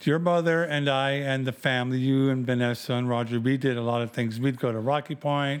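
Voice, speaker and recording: This man has a normal speaking voice, talking fairly quickly at a medium pitch with fairly even intonation, very even loudness and hardly any pauses. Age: 50s. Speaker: host's father, truck driver. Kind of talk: casual family interview. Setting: at home.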